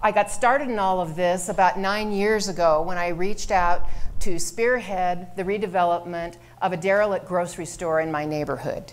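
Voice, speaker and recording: A woman at a medium pitch, with fairly even intonation and a moderate pace, in audible room echo. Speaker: mayoral candidate. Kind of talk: candidate opening statement at a forum. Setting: stage with audience.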